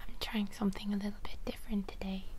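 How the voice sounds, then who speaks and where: A soft-spoken woman talks at a fairly quick pace in a monotone, flat delivery. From Ireland. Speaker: author. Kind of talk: casual talk to camera.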